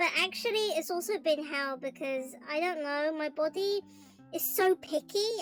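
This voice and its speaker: Music plays in the background as a woman speaks with a British accent at a high pitch. Her pace is moderate and her pitch variation ordinary. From Britain. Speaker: art streamer. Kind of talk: casual chat.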